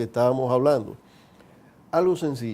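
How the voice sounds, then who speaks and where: Pitch shifting in a normal way, a man talks with a dark, mellow tone. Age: 60s. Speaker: geriatrician. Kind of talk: TV interview. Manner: explanatory.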